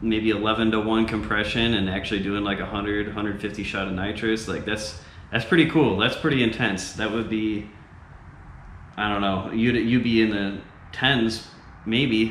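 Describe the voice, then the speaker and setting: A man's fairly low pitch at a fairly slow pace, with audible room echo and light background noise. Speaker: car enthusiast vlogger. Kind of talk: casual vlog chat. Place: garage.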